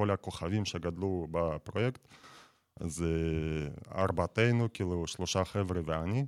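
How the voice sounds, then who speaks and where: A man's very deep, low voice with a Russian accent, ordinary pitch variation and very even loudness, at a fairly slow pace with long, frequent pauses. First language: Russian (speaking Hebrew). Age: 20s. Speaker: battle rap platform founder. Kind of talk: radio interview. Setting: studio.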